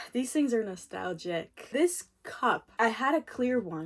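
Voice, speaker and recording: An animated woman with a non-native accent, at a fairly slow pace. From moved to Canada around age 11 from abroad. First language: not English. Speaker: YouTuber. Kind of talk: casual storytime vlog.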